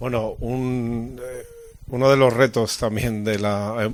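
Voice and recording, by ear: A man talks with little pitch movement.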